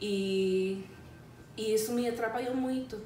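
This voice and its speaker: Amid noticeable background noise and audible room echo, a woman of medium pitch speaks at a very slow pace. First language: English (speaking Portuguese). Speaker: English teacher. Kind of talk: casual chat. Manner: halting.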